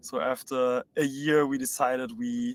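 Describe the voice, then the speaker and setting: This man speaks with a German accent. His fairly high pitch moves in lively intonation. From Germany, Berlin. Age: 20s. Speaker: startup co-founder. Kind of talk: live webinar Q&A.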